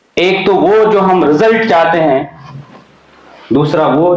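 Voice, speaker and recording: A man with a high pitch and ordinary pitch variation speaks over noticeable background noise. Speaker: Islamic speaker giving a lecture. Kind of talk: Islamic motivational lecture. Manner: conversational, explanatory.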